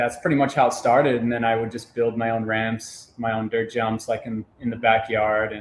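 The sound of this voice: At a moderate pace, a man speaks with a medium pitch and little pitch movement.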